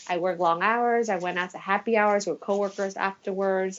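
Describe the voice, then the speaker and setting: A woman at a medium pitch with ordinary pitch variation and an ordinary speaking voice. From Taiwan, moved to US at 8. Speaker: attorney and beauty pageant winner. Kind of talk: podcast interview. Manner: casual, with filler words.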